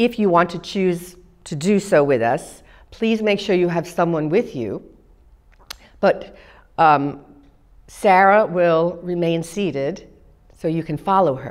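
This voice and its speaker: Long, frequent pauses break up a woman's speech. She talks at a very slow pace with a fairly low pitch. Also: ordinary pitch variation, quiet background. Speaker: movement class instructor. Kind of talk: exercise class instruction and counting. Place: studio. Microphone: lapel.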